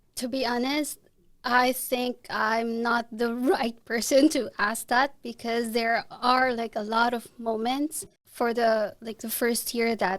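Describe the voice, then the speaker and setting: Speaking in a Filipino accent, the voice moves at a fairly slow pace. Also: woman. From Philippines. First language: Tagalog. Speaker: international student and photographer. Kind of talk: podcast interview.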